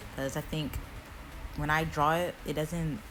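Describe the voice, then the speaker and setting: Music plays in the background as a woman speaks in an American accent at a moderate pace. Her pitch is very deep and low, and her intonation fairly even. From Florida, USA. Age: 20s. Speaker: digital artist. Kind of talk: drawing tutorial voiceover. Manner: casual.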